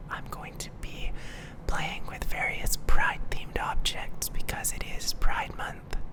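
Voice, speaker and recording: Whispering at a fairly slow pace against noticeable background noise. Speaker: ASMR youtuber. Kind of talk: ASMR whispering.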